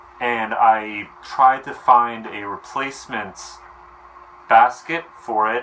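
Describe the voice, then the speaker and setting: The speech moves at a very slow pace with fairly even intonation and big swings in loudness, over noticeable background noise. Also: man, medium pitch for a man. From New Jersey. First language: Romanian. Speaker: cooking vlogger. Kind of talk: casual tutorial. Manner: casual, conversational.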